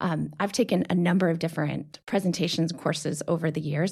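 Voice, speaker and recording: Her voice is somewhat breathy, with a fairly low pitch. The woman speaks at a fairly quick pace. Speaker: executive coach. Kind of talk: casual interview chat. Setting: studio. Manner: enthusiastic, passionate.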